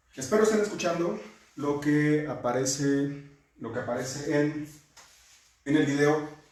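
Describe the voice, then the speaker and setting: A man with a fairly high pitch talks at a fairly slow pace, using ordinary pitch variation. His pauses are long and frequent, and there is audible room echo. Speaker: criminal defense lawyer teaching a class. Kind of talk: lecture. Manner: halting, self-correcting.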